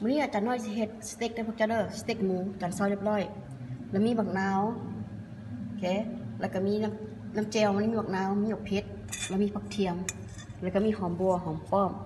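A woman speaks with fairly even intonation. Noticeable background noise runs beneath her voice. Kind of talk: cooking tutorial. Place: home room. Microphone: phone near.

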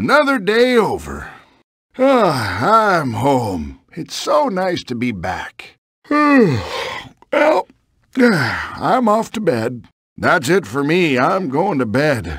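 A man in a put-on character voice, high-pitched, at a very slow pace. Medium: video game.

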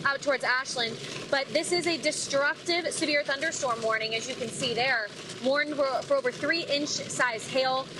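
Over noticeable background noise, a raised, projected voice moves at a moderate pace with ordinary pitch variation. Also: woman. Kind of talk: live news field report. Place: car.

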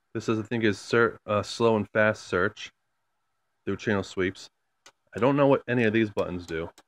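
A man with a fairly low pitch talks at a moderate pace with fairly even intonation and long, frequent pauses, the sound dry with no echo. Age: 20s. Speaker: YouTuber. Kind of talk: casual vlog, show-and-tell. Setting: at home, in and below the attic. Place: home room. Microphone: phone near.

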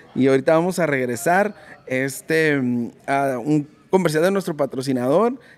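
A man's plain, everyday voice with lively intonation, at a moderate pace. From Mexicali, Mexico; Mexico. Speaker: podcast host. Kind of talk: casual interview; sponsor read. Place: shop. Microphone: studio mic.

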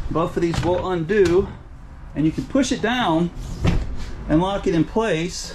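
Noticeable background noise sits behind a man speaking at a high pitch and a moderate pace, with ordinary pitch variation. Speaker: RV reviewer. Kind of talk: product walkthrough commentary. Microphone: phone near.

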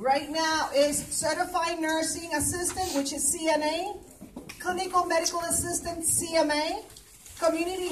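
A woman speaks at a fairly slow pace in an extremely high pitch. Her intonation is fairly even over light background noise. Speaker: presenter. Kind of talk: public announcement at a meeting. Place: hall. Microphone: camera far.

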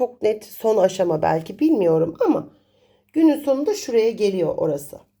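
Fairly slow and fairly high, a woman's voice has a dark, mellow tone. Her pitch swings very widely. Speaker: coffee cup reader and astrologer. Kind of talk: fortune-telling monologue.

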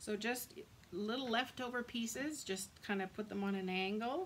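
A woman's fairly high voice at a fairly slow pace, over noticeable background noise. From Canada. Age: 40s. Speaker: craft demonstrator. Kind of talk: tutorial. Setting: live video stream. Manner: casual, chatty.

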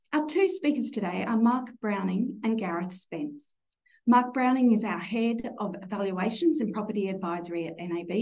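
A woman's somewhat breathy voice with lively intonation, at a moderate pace. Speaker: bank executive webinar host. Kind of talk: formal webinar introduction. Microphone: video call.

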